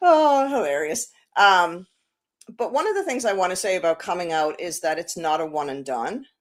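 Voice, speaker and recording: A woman with an Irish accent speaks at medium pitch and a moderate pace, her pitch swinging very widely. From Ireland, Dublin. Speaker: inclusion practitioner. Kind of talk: casual chat.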